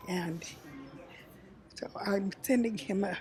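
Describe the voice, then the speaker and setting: A woman talks at a very slow pace with ordinary pitch variation. Noticeable background noise runs beneath her. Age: 80s+. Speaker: visitor. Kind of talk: interview.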